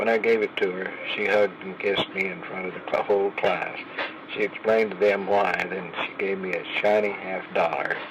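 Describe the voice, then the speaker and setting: A man with an Oklahoma accent, fairly low-pitched and flat in a monotone, at a fairly quick pace over noticeable background noise. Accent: Oklahoma Southern US. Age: 80s+. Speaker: grandfather telling life stories. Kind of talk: storytelling memoir. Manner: halting.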